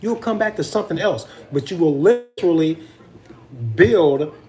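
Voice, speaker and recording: The voice is loud. Noticeable background noise runs underneath. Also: man. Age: 40s. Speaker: vlogger. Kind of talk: casual chat.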